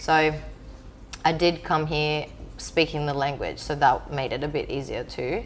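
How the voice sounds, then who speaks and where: A woman speaks at a fairly slow pace with long, frequent pauses, with audible room echo. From Greece, small island. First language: Greek. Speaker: DJ. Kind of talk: interview.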